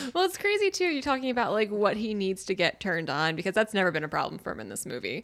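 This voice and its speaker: With an American accent and an animated tone, a woman races along very fast at a fairly high pitch, her voice swinging very widely in pitch, showing vocal fry and leaving hardly any pauses. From Philadelphia area, US. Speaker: podcast panelist. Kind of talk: casual chat.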